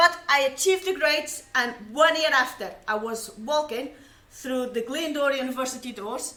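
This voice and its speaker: In a raised, projected voice, a woman talks at a moderate pace with a high pitch, ordinary pitch variation and audible room echo. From Portugal. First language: Portuguese. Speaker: science communicator. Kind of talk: personal testimony. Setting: live stream.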